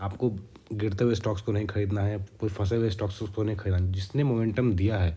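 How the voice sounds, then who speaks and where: Somewhat breathy, a man with a fairly low pitch and a dark, mellow tone speaks at a fairly quick pace with fairly even intonation. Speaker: stock trading YouTuber. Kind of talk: tutorial.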